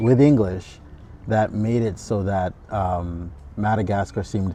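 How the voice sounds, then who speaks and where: Against a quiet background, a man with a dark, mellow tone speaks at a fairly slow pace and fairly low pitch, with ordinary pitch variation. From Madagascar. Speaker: podcast host. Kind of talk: interview questions.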